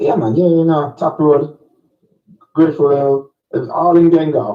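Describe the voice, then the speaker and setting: A man with a Jamaican accent speaks with ordinary pitch variation over music in the background. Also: fairly high pitch for a man, fairly slow pace. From Jamaica, St Catherine. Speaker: musician. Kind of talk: casual interview.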